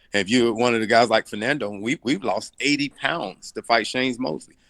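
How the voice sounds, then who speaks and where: With a Southern US accent, a man talks at a fairly quick pace in a medium pitch with ordinary pitch variation. The sound is dry and close with no echo, and his tone is bright and sharp. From US South, Arkansas and Tennessee. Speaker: boxing coach. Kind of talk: interview.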